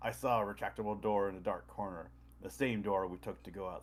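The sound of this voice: This is an unforced reading voice. Nothing more is noted.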